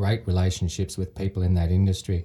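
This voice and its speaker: In an Australian accent, a man speaks with a very deep, low pitch and a dark, mellow, somewhat breathy tone. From Sydney, Australia. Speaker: real estate investor. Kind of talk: casual chat. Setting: studio.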